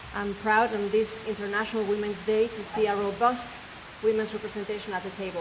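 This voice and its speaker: A woman with a Spanish accent talks at a fairly quick pace in a fairly high voice, with noticeable background noise. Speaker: debate moderator, TV news anchor. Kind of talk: moderating a forum.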